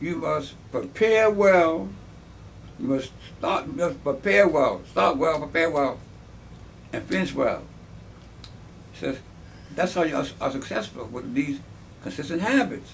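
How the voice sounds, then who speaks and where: Someone with an American accent speaks fairly slowly with long, frequent pauses and very wide pitch swings, in audible room echo. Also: man, fairly high pitch for a man. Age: 70s. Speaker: army veteran. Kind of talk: interview. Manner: halting.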